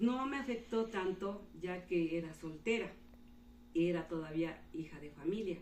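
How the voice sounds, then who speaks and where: A woman's voice has a fairly low pitch. Audible room echo surrounds it. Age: 60s. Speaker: retired teacher. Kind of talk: interview.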